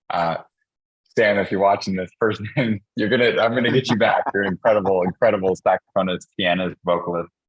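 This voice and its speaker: A man speaks at a fairly quick pace with a fairly low pitch. His intonation stays fairly even. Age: young. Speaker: app developer and panel host. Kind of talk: panel discussion. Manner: halting, many fillers.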